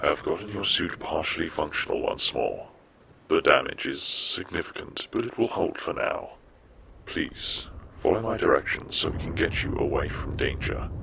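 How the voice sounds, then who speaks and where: A man uses a put-on character voice. His pace is moderate. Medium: audio drama. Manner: calm, formal, measured.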